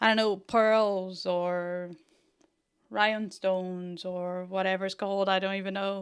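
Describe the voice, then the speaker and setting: Over a silent background in a very clean recording, a woman speaks at a medium pitch and a fairly slow pace with monotone, flat intonation. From Brazil. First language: Portuguese. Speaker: 3D fashion design tutor. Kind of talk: livestream tutorial. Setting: livestream. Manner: casual, chatty.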